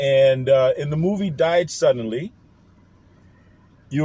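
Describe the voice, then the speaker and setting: Lively intonation in a somewhat breathy, dark and mellow voice. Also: man. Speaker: online commentator. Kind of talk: casual monologue vlog. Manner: casual, hesitant with fillers.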